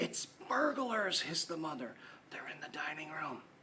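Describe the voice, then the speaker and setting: A put-on character voice, shrill and hissing, delivered in a whisper. The pace is moderate. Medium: read story. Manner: hissing, shrieking.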